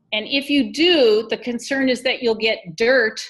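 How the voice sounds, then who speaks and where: A woman with a plain, everyday voice talks at a fairly slow pace, her intonation lively. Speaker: physician and health project director. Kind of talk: guest presentation.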